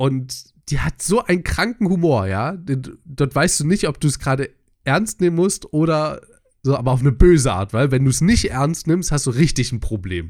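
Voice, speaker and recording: A man with a fairly high pitch for a man, somewhat breathy, with very wide pitch swings at a moderate pace. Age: 20s. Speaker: podcast co-host. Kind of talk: casual chat.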